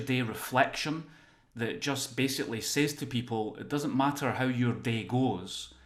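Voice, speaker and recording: Recorded with audible room echo, a man talks at a moderate pace and medium pitch with ordinary pitch variation. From Scotland, near Glasgow. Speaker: workplace well-being consultant and author. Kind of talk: podcast interview.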